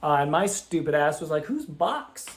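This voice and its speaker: Shouting in an animated tone, a man speaks with fairly high pitch. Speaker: gaming video creator. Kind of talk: game commentary. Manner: loud, yelling; high-pitched, animated.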